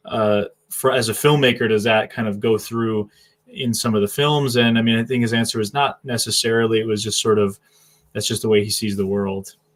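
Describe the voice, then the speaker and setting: This man has a slight New England accent, a medium pitch and a monotone, flat delivery at a fairly quick pace. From US Northeast, southern New Hampshire. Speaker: live stream host. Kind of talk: casual live-stream interview chat.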